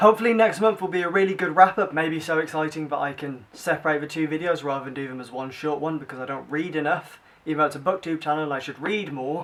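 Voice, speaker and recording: A man with a British accent, fairly high-pitched, very fast with hardly any pauses, ordinary pitch variation and big swings in loudness. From Britain. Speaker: book vlogger. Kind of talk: casual vlog. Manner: animated.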